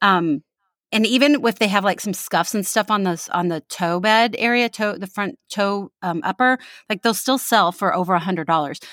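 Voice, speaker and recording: Here is a plain, everyday voice, a woman's, medium in pitch at a moderate pace. The sound is dry and close with no echo, on a very clean recording with a silent background. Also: ordinary pitch variation. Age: 40s. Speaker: comedy podcast co-host and reseller. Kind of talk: casual chat.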